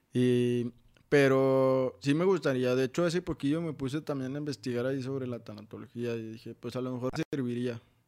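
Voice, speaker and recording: Keeping his intonation fairly even, a man talks at a fairly quick pace. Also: medium pitch for a man. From Mexico, Saltillo, Coahuila. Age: 20s. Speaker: motivational speaker. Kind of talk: podcast interview, personal testimony. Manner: halting, many fillers.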